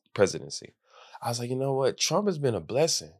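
A man talks at a very fast pace with lively intonation. The recording is very clean, with a silent background. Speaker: podcast host. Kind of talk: casual podcast interview.

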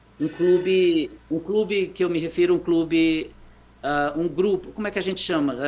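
A man speaks at a moderate pace in a high voice, with fairly even intonation. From Brazil, Fortaleza (Ceará). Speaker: educator living abroad. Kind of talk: interview conversation. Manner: halting, with many repetitions.

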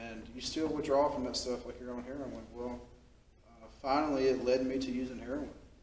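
A man with a Southern US accent, medium in pitch, fairly quick in pace, with fairly even intonation. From Mississippi, US South. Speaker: person in recovery sharing story. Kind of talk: testimony.

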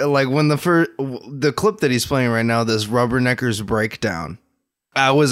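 Here is a man with an unremarkable speaking voice at a medium pitch. He keeps a moderate pace with ordinary pitch variation. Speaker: podcast co-host. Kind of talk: casual banter podcast. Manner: playful, laughs often.

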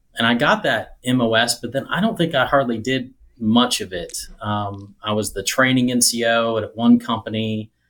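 Using a plain, everyday voice, a man with an American accent speaks at a fairly slow pace and medium pitch. The recording is very clean, with a silent background. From US Midwest (rural Missouri). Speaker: IT executive and army veteran. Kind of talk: interview.

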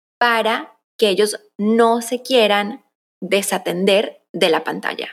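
Here a woman talks at a medium pitch. Her pitch varies in an ordinary way. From Colombia, raised in the US from early childhood. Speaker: content strategist and agency founder. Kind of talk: casual interview chat.

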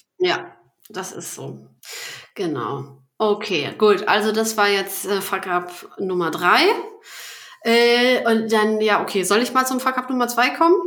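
A woman speaks at a fairly high pitch and a very slow pace, with lively intonation. Long, frequent pauses break up her speech, and the room echo is audible. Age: 30s. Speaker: business founder and podcast host. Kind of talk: casual interview chat. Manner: hesitant, many fillers.

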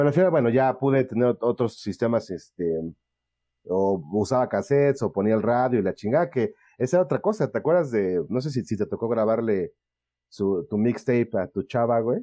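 A man speaks at a medium pitch with lively intonation and a moderate pace. His tone is dark and mellow, the sound dry and close with no echo over a quiet background. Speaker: podcast host. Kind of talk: casual chat.

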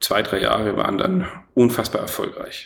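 A man speaks with a slight Franconian accent. There is audible room echo. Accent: faint Franconian. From Franconia, Germany (Erlangen). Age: 30s. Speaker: entrepreneur. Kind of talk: interview. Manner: many filler sounds (äh, ähm); energetic.

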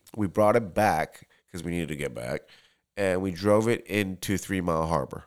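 Speaking at a very deep, low pitch with ordinary pitch variation, a man is captured in a very clean recording with a silent background. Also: moderate pace. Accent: American. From Tokyo, Japan, then US from third grade. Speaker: bartender. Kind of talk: casual chat.

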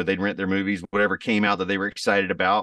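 A man with a Southern US accent speaks at a very deep, low pitch against a quiet background. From US South. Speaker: country singer. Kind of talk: casual interview.

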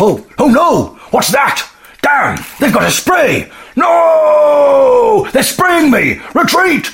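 A man's put-on character voice at an extremely high pitch, delivered at a very slow pace. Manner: panicked.

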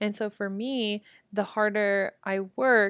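A woman with a Midwestern accent sounds animated in a very clean recording with a silent background and a dry, close sound with no echo. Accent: general American, Midwest. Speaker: podcast host. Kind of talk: casual motivational monologue. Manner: animated, casual.

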